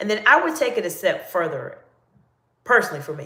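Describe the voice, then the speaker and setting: A woman with a Southern US accent talks at a very fast pace. The room echo is audible. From US South, North Carolina. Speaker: executive coach. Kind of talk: live Q&A stream.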